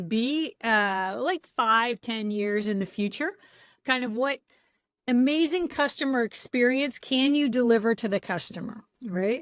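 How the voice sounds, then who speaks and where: A woman with an American accent uses a normal speaking voice at a fairly high pitch, with ordinary pitch variation and a fairly slow pace, in a very clean recording with a silent background. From US, San Francisco Bay Area. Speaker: product coach and trainer. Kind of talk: interview.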